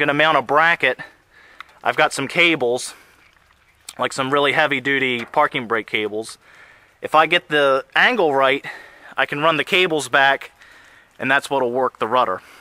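A man talks at a moderate pace in a bright, sharp tone with ordinary pitch variation. The sound is dry with no echo, and his pauses are long and frequent. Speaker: tractor hobbyist. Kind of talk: casual vlog chat. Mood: enthusiastic, planning. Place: forest. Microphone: phone near.

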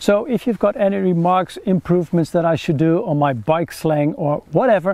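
A man's high-pitched voice with a slightly mellow tone, ordinary pitch variation and a moderate pace

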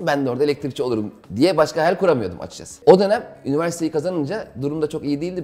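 A man talks at a very fast pace in a dark, mellow tone with vocal fry. His loudness swings widely, while his pitch varies in an ordinary way. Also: hardly any pauses. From Istanbul, Turkey; Turkey. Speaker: stand-up comedian; interview guest, comedian. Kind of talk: casual interview. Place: home room.

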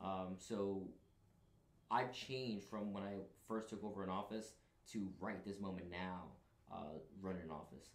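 Long, frequent pauses, audible room echo, fairly even intonation, and an American accent. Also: man, fairly low pitch for a man, moderate pace. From New York City, the Bronx. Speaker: Marine recruiter; guest. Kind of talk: casual chat. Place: studio.

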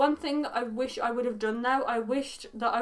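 Woman's high voice, ordinary pitch variation, moderate pace. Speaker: beauty vlogger. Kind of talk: casual haul vlog chat. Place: home room. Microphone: camera far.

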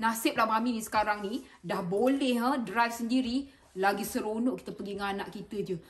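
A woman is speaking. Her pace is moderate. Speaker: YouTuber. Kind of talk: casual chat. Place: home room. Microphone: phone near.

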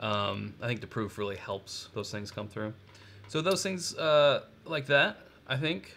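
Speaking at a fairly slow pace, a man with an American accent has a bright, sharp tone. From Kentucky. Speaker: bourbon channel co-host. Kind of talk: casual live-stream tasting chat. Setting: live stream. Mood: relaxed, conversational. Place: home room.

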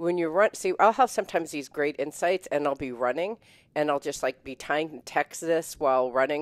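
A woman speaks at a very deep, low pitch with ordinary pitch variation and an animated tone. The sound is dry with no echo over a quiet background. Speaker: spiritual show co-host. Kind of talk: casual chat. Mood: warm, smiling. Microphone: headset.

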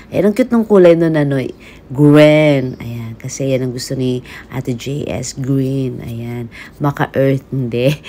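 A woman with a very deep, low pitch speaks at a fairly slow pace in an animated tone, with ordinary pitch variation and light background noise. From Philippines. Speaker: vlogger. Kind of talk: casual shopping vlog. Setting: in an electronics store. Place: shop. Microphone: phone near.

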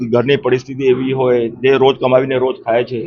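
This is a man speaking. His pitch is medium. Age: 60s. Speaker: shopkeeper. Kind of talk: news interview statement.

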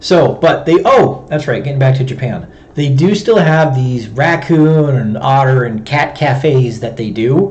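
The speech flows with hardly any pauses and ordinary pitch variation. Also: man, fairly high pitch for a man. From US Midwest, Chicago. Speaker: wildlife control operator and streamer. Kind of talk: live stream talk. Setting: home livestream with webcam microphone. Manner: fast talker.

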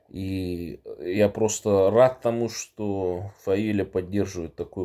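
A man with a dark, mellow tone speaks at a fairly low pitch, his intonation fairly even, over a quiet background. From Buryatia, Russia. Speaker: political activist; public speaker. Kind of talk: political address. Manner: halting with filler sounds. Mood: earnest, serious. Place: home room. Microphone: phone near.

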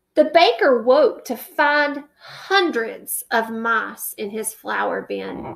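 A woman talks at a very slow pace with lively intonation. Vocal fry and a slightly husky edge run through her voice.

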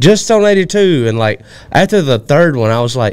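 A fairly high male voice with a Southern US accent, fairly slow and full of very wide pitch swings. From Alabama. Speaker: podcast co-host. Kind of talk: casual chat. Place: studio. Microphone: studio mic.

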